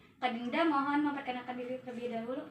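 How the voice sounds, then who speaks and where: This is a woman speaking. Her voice is raised and projected. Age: young. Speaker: university student interviewer. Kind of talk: student interview assignment.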